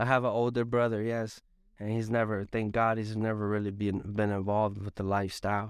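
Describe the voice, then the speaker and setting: Fairly low, flat, monotone male speech at a fairly quick pace, with an American accent. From Hartford, Connecticut. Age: 30s. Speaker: recovery worker with lived experience. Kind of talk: interview testimony. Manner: halting, many repetitions.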